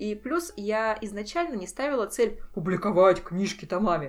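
A woman talks at a moderate pace with lively intonation and a fairly high pitch. Hers is a plain, everyday voice. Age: 30s. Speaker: writer. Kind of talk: casual chat.

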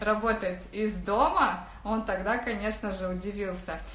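With audible room echo around her, a woman talks at a fairly slow pace in a fairly high voice. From Kazakhstan, Karaganda region. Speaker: online business coach. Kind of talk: webinar talk. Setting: rented office.

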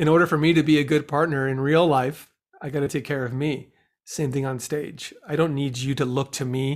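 A man with an American accent talks at a fairly quick pace. His pitch is fairly high and his intonation monotone and flat. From Southern California, Downey. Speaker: improviser and actor. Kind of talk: interview.

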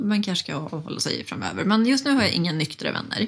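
An ordinary speaking voice, a woman talks at a fairly quick pace with lively intonation on a very clean recording with a silent background. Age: 30s. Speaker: recovering alcoholic, sobriety influencer. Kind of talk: interview testimony.

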